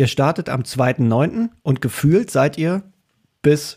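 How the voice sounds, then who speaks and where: A somewhat breathy man's voice, dark and mellow in tone, with ordinary pitch variation and a dry, close sound with no echo. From eastern Germany. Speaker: podcast co-host. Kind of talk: casual interview.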